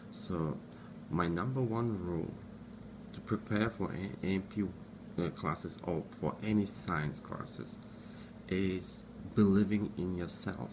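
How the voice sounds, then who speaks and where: A man with a non-native accent speaks at a fairly slow pace in a fairly low pitch, with ordinary pitch variation. Long, frequent pauses break his speech, and there is noticeable background noise. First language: not English. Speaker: student giving study tips. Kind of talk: tutorial. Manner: halting.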